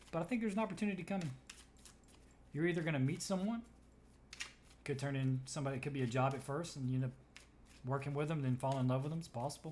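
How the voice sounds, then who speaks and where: A man talks at a very fast pace yet leaves long, frequent pauses. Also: ordinary pitch variation. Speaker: tarot reader. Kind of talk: tarot reading.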